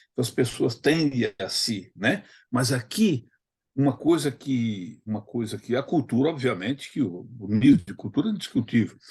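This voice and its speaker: In a quiet setting, a man speaks at medium pitch and a moderate pace, somewhat breathy, with lively intonation. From Brazil, Northeast; raised in Campo Grande. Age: 70s. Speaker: study group participant, retired lawyer. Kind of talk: casual discussion in study group. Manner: halting, many false starts.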